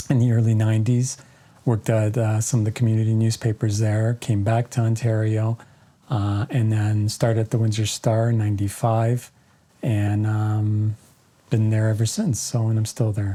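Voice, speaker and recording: A man's fairly low, somewhat breathy voice with a dark, mellow tone, monotone, flat intonation and very even loudness, at a moderate pace. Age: 60s. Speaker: author and journalist. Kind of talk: interview. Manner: halting, many fillers.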